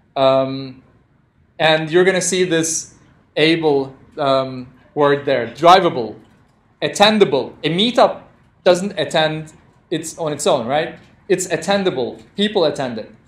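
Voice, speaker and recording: A man with a non-native accent speaks at a fairly slow pace, with long, frequent pauses. His pitch is fairly high with ordinary variation, and room echo is audible. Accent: non-native English speaker. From Turkey. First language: Turkish. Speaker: programming instructor. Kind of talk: lecture. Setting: classroom with live audience, streamed. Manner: interactive, conversational.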